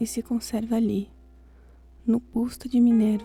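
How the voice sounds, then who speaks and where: Whispering in a soft-spoken, gentle tone at a very slow pace, the voice comes with music in the background. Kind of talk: soft-spoken ASMR poetry reading for sleep. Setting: studio with quiet classical piano music in background. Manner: soft, whispered, gentle.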